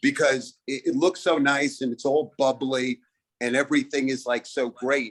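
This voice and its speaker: With a Brooklyn accent, a man speaks at a moderate pace and medium pitch with fairly even intonation. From Brooklyn, New York. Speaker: comedian. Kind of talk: stand-up. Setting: video call.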